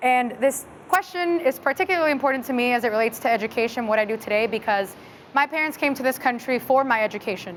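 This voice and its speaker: A woman with an American accent talks very fast in a high pitch with lively intonation. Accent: Texan American English, Mexican American. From Southeast Dallas, Texas. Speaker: school board trustee. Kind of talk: panel discussion.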